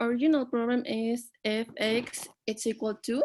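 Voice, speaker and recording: A woman with a Spanish accent, high in pitch, with monotone, flat intonation and a very slow pace, on a very clean recording with a silent background. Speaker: student. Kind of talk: explaining a math problem in class. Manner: halting.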